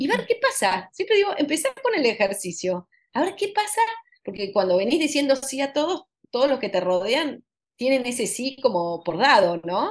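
Very wide pitch swings at a moderate pace. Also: woman, high pitch for a woman. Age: 50s. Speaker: author and consultant. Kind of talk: interview.

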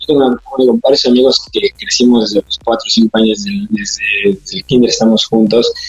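Music plays in the background as a man speaks. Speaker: amateur triathlete. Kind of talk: interview. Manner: halting, many fillers.

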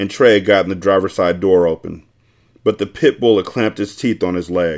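In a plain, everyday voice, a man talks at a moderate speed, his pitch varying in an ordinary way. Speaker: podcast host reading novel aloud. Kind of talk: audiobook-style reading aloud of a novel chapter, with casual profane asides. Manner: irreverent, joking, profane banter in the intro, relaxed and conversational.

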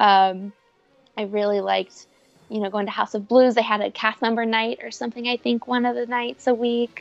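Delivered with a Midwestern American accent, the speech moves at a moderate pace with fairly even intonation. The sound is dry and close, with no echo. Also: woman, fairly high pitch for a woman. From Cincinnati, Ohio, US Midwest. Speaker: former theme park employee. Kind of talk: interview.

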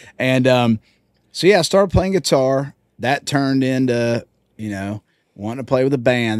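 Moderate pace in a Southern US accent, on a very clean recording with a silent background. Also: man. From Georgia, US. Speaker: country singer. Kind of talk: casual chat. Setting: tour bus.

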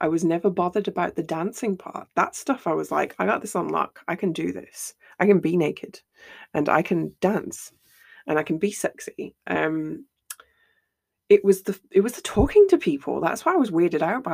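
A woman talks at a moderate speed, and the recording is very clean with a silent background. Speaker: podcast host. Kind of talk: casual solo monologue. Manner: laughs often.

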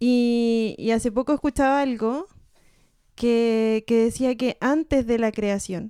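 A woman speaks in a Chilean accent at a fairly slow pace, her fairly high voice carrying a dark, mellow tone. Her intonation is fairly even, and the sound is dry and close with no echo. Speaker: podcast co-host. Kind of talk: casual chat.

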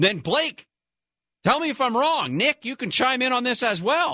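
With an extremely high pitch and a bright, sharp tone, a man uses a raised, projected voice and lively intonation at a fairly slow pace, recorded with a dry, close sound and no echo. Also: quiet background. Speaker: radio host. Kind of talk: talk radio show. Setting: studio.

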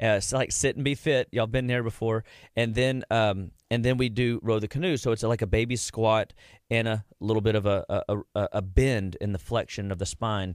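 In a plain, everyday voice, a man speaks at a moderate pace with a medium pitch and fairly even intonation. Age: 40s. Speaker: clinical nutrition doctor. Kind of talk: radio interview. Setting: studio.

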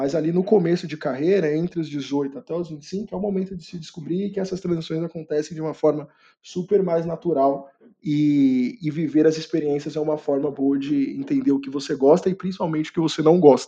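A man's fairly high-pitched voice with a dark, mellow tone, a fairly quick pace and ordinary pitch variation. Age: 20s. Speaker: career content creator and product manager. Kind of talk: podcast interview. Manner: hesitant with fillers.

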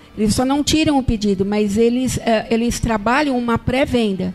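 There is noticeable background noise as a woman speaks at a moderate pace. Her pitch is high and varies in an ordinary way. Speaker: marketing agency executive. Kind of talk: podcast interview.

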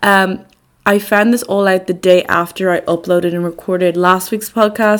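With a Dublin accent, a woman speaks at a moderate pace and medium pitch, her intonation fairly even. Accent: Dublin Irish. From Ireland, Dublin. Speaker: podcast host, student. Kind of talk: casual chat.

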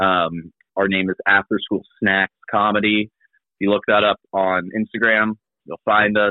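A man delivers his words at a moderate speed, his fairly low voice flat and monotone. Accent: Midwestern American. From Kansas City, Missouri. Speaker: improv comedian and teacher. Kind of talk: casual chat.

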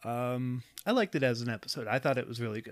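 Over music in the background, a man speaks at a medium pitch. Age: 20s. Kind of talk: casual chat.

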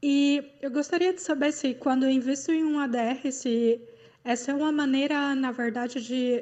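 Fairly even intonation at a fairly slow pace. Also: woman. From Goiânia, Brazil. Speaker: listener caller, investor. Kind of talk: recorded listener question. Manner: hesitant, many fillers.

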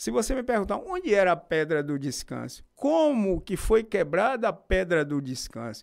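On a very clean recording with a silent background, a man at high pitch swings very widely in pitch, keeping a moderate pace with hardly any pauses. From Bahia, Brazil (Feira de Santana). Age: 50s. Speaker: local historian. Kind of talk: interview. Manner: formal.

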